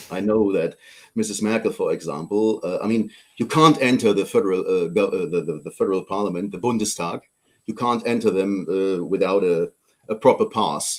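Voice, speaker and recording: This man speaks with a German accent. His pace is moderate. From Germany. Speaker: politician. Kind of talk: interview. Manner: halting.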